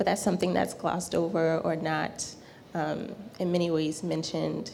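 A woman with an American accent talks at a moderate pace. Room echo is audible. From rural South Carolina. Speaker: spiritual teacher and tarot reader. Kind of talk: class talk. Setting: live class in a shop.

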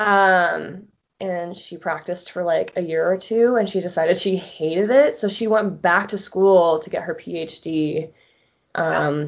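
A woman with an American accent, a normal speaking voice, a fairly low pitch and ordinary pitch variation. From Florida. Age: 30s. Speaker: photographer and graphic designer. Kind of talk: casual chat.

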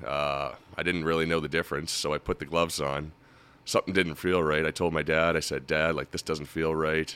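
A man with a Nova Scotian accent speaks at a fairly quick pace in a very deep, low pitch, his tone bright and sharp and his intonation flat and monotone. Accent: Nova Scotian Canadian. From Halifax, Nova Scotia. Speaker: retired hockey goalie. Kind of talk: casual chat. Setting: studio.

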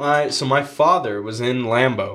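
Using an ordinary speaking voice, a man talks at medium pitch with ordinary pitch variation. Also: very clean recording, silent background. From Texas and Montana. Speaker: hunter, friend of hosts. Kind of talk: casual chat.

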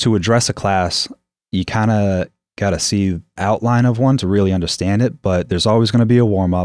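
A man with a New England accent talks at a fairly quick pace and a fairly low pitch, with fairly even intonation and very even loudness. The recording is very clean with a silent background and a dry, close sound with no echo. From New Hampshire, US. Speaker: gym owner and coach. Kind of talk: casual interview chat.

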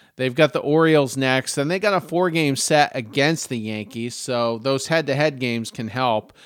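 At a moderate pace, a normal speaking voice with an American accent shows ordinary pitch variation. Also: man, medium pitch for a man. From Maine, US. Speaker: sports podcast co-host. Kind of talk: casual chat.

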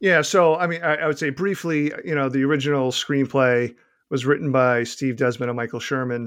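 A fairly high-pitched man at a fairly quick pace, with ordinary pitch variation. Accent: Boston. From Boston, US. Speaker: author.

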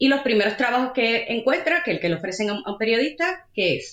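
A woman speaks at a fairly quick pace in a high pitch, her voice making very wide pitch swings. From Puerto Rico. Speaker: digital analytics manager. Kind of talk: interview.

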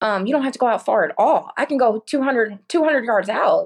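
Against a quiet background, a woman talks at a moderate pace with a Texas accent. Her pitch varies in an ordinary way. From Texas, Corpus Christi. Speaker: surf fishing guide. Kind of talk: casual interview chat.

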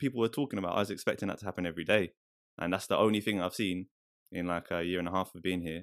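A man speaks very fast in a London accent, his pitch very deep and low with ordinary variation. The recording is very clean, the background silent. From East London. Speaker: rapper and church worker. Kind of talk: casual chat.

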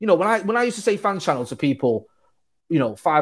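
Very wide pitch swings mark this man's speech. He talks at a very fast pace in a Mancunian accent. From Manchester, England. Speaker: football fan channel co-owner. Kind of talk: casual chat.

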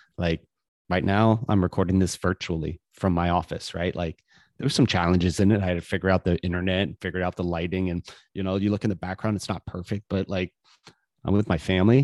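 With an American accent, a man talks at a very fast pace in a very deep, low pitch and fairly even intonation. The sound is dry and close with no echo against a quiet background. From Florida. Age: 40s. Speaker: real estate and business broker. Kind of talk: interview. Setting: remote recording from office.

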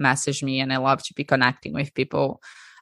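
A woman speaks with a Portuguese accent. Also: dry, close sound with no echo. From Brazil. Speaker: breathwork coach. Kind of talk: interview. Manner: animated.

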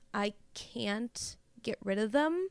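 A woman speaks on a very clean recording. The background is silent. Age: 20s. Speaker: listener sharing experience as a fan. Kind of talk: recorded voice note testimony.

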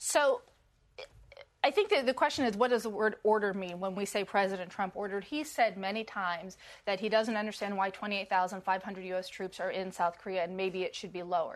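A woman's unremarkable speaking voice, medium in pitch, with ordinary pitch variation and a fairly quick pace. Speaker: national security reporter. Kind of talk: panel discussion.

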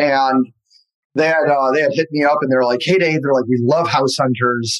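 A man with a normal speaking voice and an American accent speaks at a moderate pace and a fairly high pitch, keeping his loudness very even. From US Midwest, Detroit area. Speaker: real estate team leader. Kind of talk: interview.

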